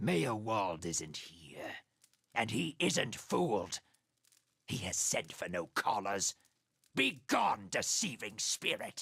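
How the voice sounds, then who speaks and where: A man's raspy, put-on character voice, fairly low in pitch, at a very slow pace with long, frequent pauses. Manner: menacing, threatening.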